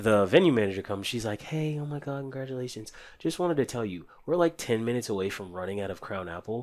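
An unremarkable speaking voice from a man at medium pitch, with lively intonation and big swings in loudness, on a very clean recording with a silent background. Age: 20s. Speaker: groom, security worker. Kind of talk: casual interview. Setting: studio.

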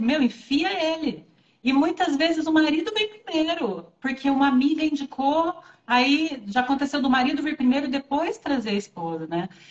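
A woman's high-pitched voice with lively intonation at a moderate pace. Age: 40s. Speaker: Ayurveda therapist and pharmacist. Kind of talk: casual interview on a livestream. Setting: live video stream.

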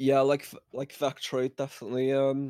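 In a Liverpool accent, a man talks at a fairly slow pace on a very clean recording with a silent background and a dry, close sound with no echo. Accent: Scouse. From Liverpool, England. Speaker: music producer. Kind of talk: casual interview.

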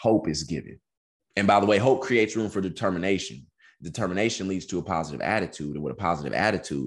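A man with a very deep, low pitch and vocal fry speaks at a very fast pace. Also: quiet background. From Texas. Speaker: author and MS activist, former college football player. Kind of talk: podcast interview.

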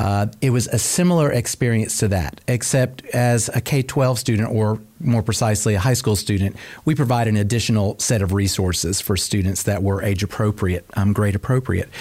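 A man with an American accent and a normal speaking voice talks at a fairly low pitch and a moderate pace, with hardly any pauses. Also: ordinary pitch variation. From US South, Cobb County, Georgia. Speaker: school program director. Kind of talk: interview.

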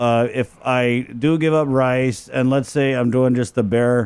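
A man with a Guam accent speaks at a medium pitch with fairly even intonation. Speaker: podcast co-host. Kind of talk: casual chat.

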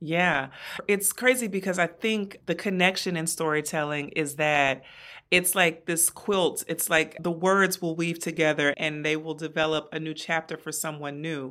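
Her tone bright and sharp, a woman speaks at a moderate pace with a fairly low pitch in a very clean recording with a silent background. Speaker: brand strategist and podcaster. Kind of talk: interview conversation. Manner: warm, animated.

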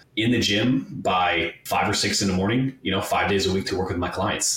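A man's fairly low-pitched, fairly quick speech with fairly even intonation, set against noticeable background noise. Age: 30s. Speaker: fitness podcast host. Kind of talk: casual interview chat.

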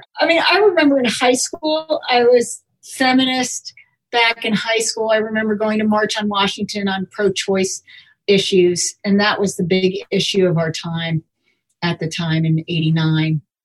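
A woman speaks at a fairly slow pace in a somewhat breathy, fairly high voice with very wide pitch swings. The sound is dry and close, with no echo. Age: 40s. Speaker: artist and gallery owner. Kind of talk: interview.

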